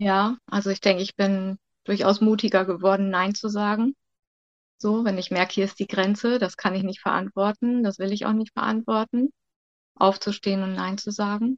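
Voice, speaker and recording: A woman speaks at a medium pitch with monotone, flat intonation. The sound is dry and close, with no echo. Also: moderate pace. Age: 50s. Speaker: childcare worker. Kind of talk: interview.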